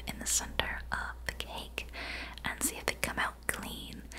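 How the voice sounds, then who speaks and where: A woman whispers at a fairly slow pace. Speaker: baking vlogger. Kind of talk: casual vlog chat.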